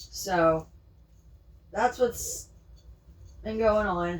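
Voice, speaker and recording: A woman speaks with ordinary pitch variation. Noticeable background noise is present. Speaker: pet vlogger. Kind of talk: casual vlog chat. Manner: whispering.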